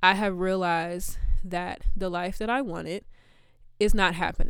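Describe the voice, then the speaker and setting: Ordinary pitch variation in a woman's voice at a medium pitch. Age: 20s. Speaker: faith podcast host. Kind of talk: personal testimony. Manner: animated.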